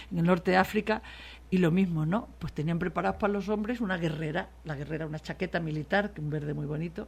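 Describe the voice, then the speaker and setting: The speech comes at a very fast pace with vocal fry. Pitch varies in an ordinary way. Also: woman, fairly low pitch for a woman. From Spain, Extremadura (Mérida). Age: 60s. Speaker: political journalist. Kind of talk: radio interview. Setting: radio studio.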